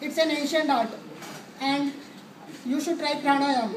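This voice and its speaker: Over noticeable background noise, a woman speaks with a high pitch. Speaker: trainee giving a presentation. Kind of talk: sarcastic presentation to a live audience. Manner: occasional stammering.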